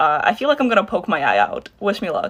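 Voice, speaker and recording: This woman's voice sits at a fairly high pitch. Noticeable background noise runs behind her. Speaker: makeup content creator. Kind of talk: makeup removal vlog. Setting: at home at night. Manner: quiet.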